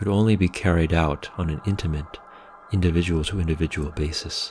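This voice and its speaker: Here a man speaks at a very deep, low pitch. His voice is somewhat breathy, with fairly even intonation. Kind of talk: philosophical lecture narration.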